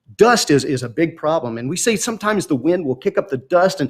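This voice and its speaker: Talking very fast in a high voice, a man with a Mississippi accent swings his pitch very widely. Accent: Southern US (Mississippi). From Mississippi, US South. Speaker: meteorologist. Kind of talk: educational talk. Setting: live-streamed science expo.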